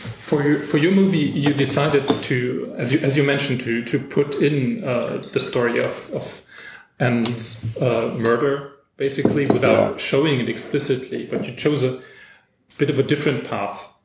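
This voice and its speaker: A man speaks at a moderate pace with a fairly high pitch and ordinary pitch variation. Room echo is audible around his voice. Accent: German. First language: German. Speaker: podcast host. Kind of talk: interview. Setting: in person. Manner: halting.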